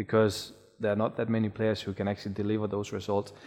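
Against a quiet background, a man with a Danish accent talks fairly quickly at a fairly low pitch, his intonation monotone and flat. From Denmark. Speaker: sports podcast host. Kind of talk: interview. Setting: studio.

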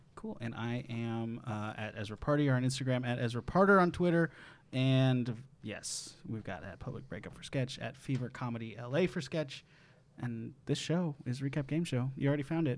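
A man with an American accent speaks at a moderate pace with a medium pitch and ordinary pitch variation. He has a plain, everyday voice, and his loudness swings widely. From Wisconsin, Madison. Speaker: game show podcast host. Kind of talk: casual chat.

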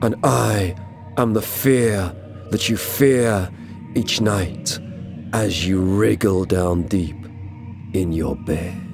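Slowly and in a put-on character voice, a man talks at a fairly low pitch while clear music plays in the background. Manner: scary, spooky.

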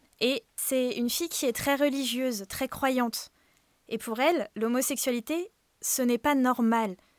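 A woman's high-pitched voice at a fairly slow pace, with ordinary pitch variation and a dry, close sound with no echo on a very clean recording with a silent background. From Brittany, France. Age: 20s. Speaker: podcast storyteller. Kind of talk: personal first-person narration.

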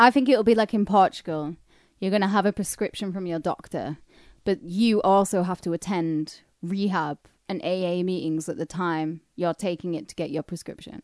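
Speaking at a moderate pace in a northern English accent, a woman has a medium pitch and ordinary pitch variation, recorded dry and close with no echo in a quiet background. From northern England. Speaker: podcast co-host. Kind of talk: casual chat.

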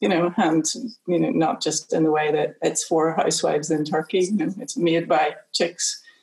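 A woman speaks at a moderate pace and a fairly low pitch. Her voice is somewhat breathy, with ordinary pitch variation. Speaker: executive producer. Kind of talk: panel discussion. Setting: video call.

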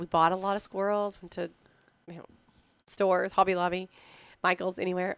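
A woman speaks in a Texan accent with a fairly low pitch and monotone, flat intonation. The recording is very clean with a silent background and a dry, close sound with no echo. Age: 30s. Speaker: pecan business owner. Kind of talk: interview. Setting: at her business in Texas.

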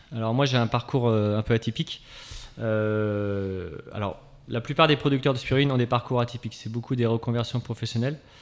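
Medium pitch and a moderate pace from a male speaker, a plain, everyday voice, pitch varying in an ordinary way. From France, Angers. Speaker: spirulina farmer. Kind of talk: radio interview. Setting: radio studio.

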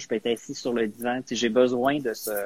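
A man speaks with an unremarkable speaking voice at a medium pitch. His intonation stays fairly even. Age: 40s. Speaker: guest, media professional. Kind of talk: casual chat.

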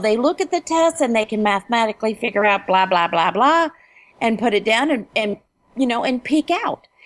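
With an American accent, a woman talks at a moderate pace with very wide pitch swings. Music plays in the background, and the sound is dry and close with no echo. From Ohio, Dayton. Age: 50s. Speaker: writer and teacher. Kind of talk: interview.

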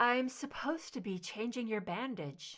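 Soft-spoken and high-pitched, a woman does a put-on character voice at a moderate pace. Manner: murmuring, soft.

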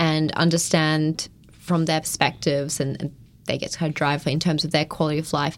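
Recorded very cleanly with a silent background, a woman talks at a fairly quick pace. Her voice is very deep and low, with an Australian accent. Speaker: PhD student researcher. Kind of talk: interview.

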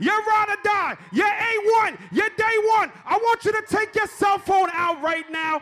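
A man speaks at a fairly slow pace in an extremely high-pitched, raised, projected voice with an animated tone. His pitch variation is ordinary, and music plays in the background. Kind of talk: radio DJ club hype patter, live party crowd work. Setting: club or party with crowd. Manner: loud, animated, hype-man shouting with call-and-response and repeated catchphrases.

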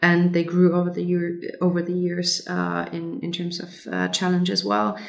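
The speech comes at a fairly slow pace. Room echo is audible. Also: woman. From Germany. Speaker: lead designer. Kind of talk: interview.

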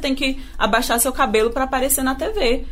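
A woman is speaking. Room echo is audible. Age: 20s. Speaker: radio journalist and producer. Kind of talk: radio podcast interview.

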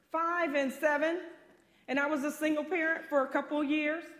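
Woman's extremely high voice with audible room echo. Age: 50s. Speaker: pastor. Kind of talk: sermon.

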